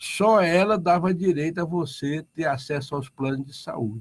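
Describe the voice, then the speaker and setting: A plain, everyday voice with lively intonation at a fairly slow pace. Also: man. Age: 60s. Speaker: union leader. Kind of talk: radio interview.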